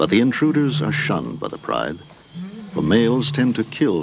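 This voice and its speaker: Over noticeable background noise, a man with a very deep, low pitch speaks in a dramatic tone at a moderate pace. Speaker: documentary narrator. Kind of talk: nature documentary narration. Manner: measured, dramatic, hushed and reverent.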